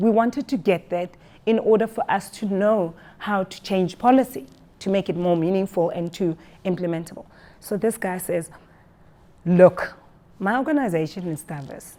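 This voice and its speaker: A woman's dark, mellow voice at medium pitch, moderate in pace with ordinary pitch variation and long, frequent pauses. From South Africa. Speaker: employment equity speaker. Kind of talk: presentation. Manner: loud.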